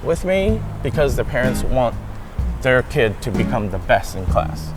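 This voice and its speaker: A man talks fairly slowly while music plays in the background. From Taiwan, raised partly in the USA from age ten. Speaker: English tutor. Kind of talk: interview answer.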